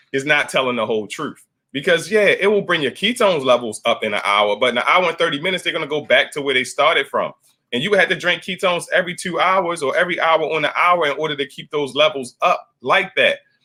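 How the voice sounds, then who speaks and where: A man with a high pitch speaks at a very fast pace with lively intonation. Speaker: keto coach. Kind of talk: live stream class.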